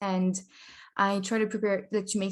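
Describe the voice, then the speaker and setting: On a very clean recording with a silent background, a woman speaks with a French accent. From France. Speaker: language learning vlogger. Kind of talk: casual vlog talk. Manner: hesitant, filler-heavy.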